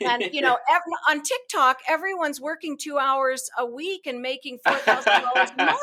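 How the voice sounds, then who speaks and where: Raised and projected, a woman's high-pitched voice carries over noticeable background noise. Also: lively intonation, moderate pace. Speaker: podcast host. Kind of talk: podcast host conversation.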